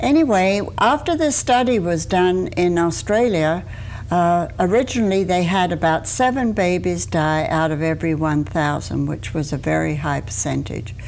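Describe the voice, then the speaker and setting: This woman has a fairly low pitch and lively intonation, with hardly any pauses. Audible room echo surrounds her voice. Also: moderate pace. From England. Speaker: deputy coroner. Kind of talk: TV interview.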